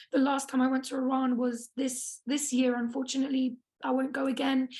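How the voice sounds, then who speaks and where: With a British accent, a woman talks at a fairly quick pace in a high pitch, her intonation monotone and flat. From England, small town. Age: 20s. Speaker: activist speaker. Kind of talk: personal testimony talk.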